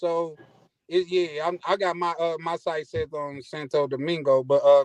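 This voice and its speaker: A fairly slow delivery with a Mississippi accent, dry and close with no echo. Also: man, high pitch for a man, fairly even intonation. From US South, Mississippi. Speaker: caller. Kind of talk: casual chat. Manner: halting, repetitive filler.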